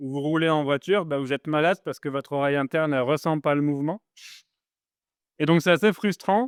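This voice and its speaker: Male speech at a fairly high pitch, varying in pitch by ordinary amounts. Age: 40s. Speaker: startup founder. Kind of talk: talk to live audience. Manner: casual, hesitant with many fillers.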